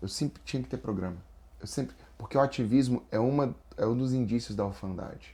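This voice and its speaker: A man with a Brasília accent, medium-pitched and somewhat breathy, his tone dark and mellow, his intonation lively, his pace very fast. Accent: Brasília accent (Brazilian Portuguese). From Brazil, Brasília. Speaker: spiritual and business counselor, guest. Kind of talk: faith testimony in podcast interview.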